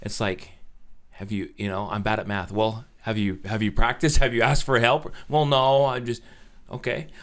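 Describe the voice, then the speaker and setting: In a normal speaking voice with an American accent, a man talks at a moderate pace and a medium pitch, with ordinary pitch variation. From Utah, Orem. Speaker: recovering addict telling his story. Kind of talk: casual interview chat.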